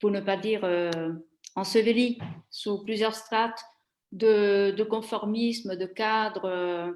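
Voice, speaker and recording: A woman with an Italian accent and fairly even intonation. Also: very clean recording, silent background. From Italy. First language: Italian (speaking French). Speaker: former trade journalist, career changer. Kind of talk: interview. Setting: live stream. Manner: halting, many hesitations.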